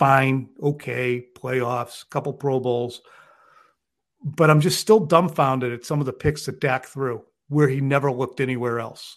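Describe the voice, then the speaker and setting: A man's plain, everyday voice at a medium pitch, fairly slow and fairly even in intonation, against a quiet background. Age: 50s. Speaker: sports journalist. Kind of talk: casual chat.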